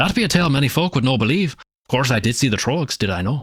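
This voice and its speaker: In a gruff put-on character voice of medium pitch, a man rattles along at a very fast pace with big swings in loudness. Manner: tropey, gruff storyteller.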